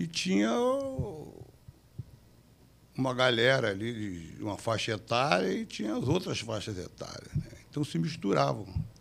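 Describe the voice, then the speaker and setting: A man speaks fairly slowly with vocal fry and long, frequent pauses. His pitch swings very widely. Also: medium pitch for a man. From Brazil, Rio de Janeiro (Copacabana). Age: 70s. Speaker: jiu-jitsu grandmaster. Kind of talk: interview storytelling.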